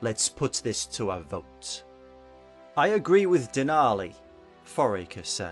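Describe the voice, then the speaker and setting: Very wide pitch swings at a fairly slow pace, with long, frequent pauses and music in the background. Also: man, medium pitch for a man. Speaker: voice actor. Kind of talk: fiction audiobook narration.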